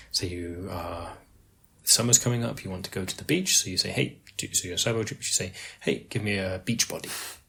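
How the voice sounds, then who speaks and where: In an English accent, a man speaks with a very deep, low pitch, ordinary pitch variation and big swings in loudness. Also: fairly quick pace, very clean recording, silent background. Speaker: podcast co-host. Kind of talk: casual chat.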